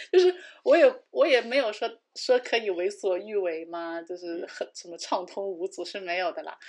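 A woman with a plain, everyday voice at medium pitch, moderate pace and lively intonation, with big swings in loudness over a quiet background. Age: 30s. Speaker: podcast co-host. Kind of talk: casual chat.

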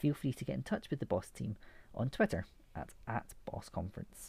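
A dark, mellow tone, somewhat breathy, at a fairly quick pace. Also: man. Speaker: podcast host. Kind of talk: scripted intro and outro.

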